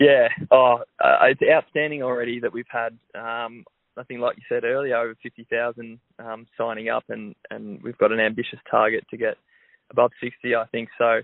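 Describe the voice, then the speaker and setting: Loudness swings widely as a man with an Australian accent speaks at a moderate pace. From Melbourne, Australia. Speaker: professional footballer. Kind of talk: radio interview. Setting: phone call. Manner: hesitant, many fillers.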